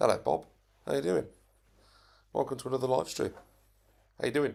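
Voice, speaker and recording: A man speaks quietly. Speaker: RC hobby YouTuber. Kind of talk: live stream chat. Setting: home live stream. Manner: talking very quietly.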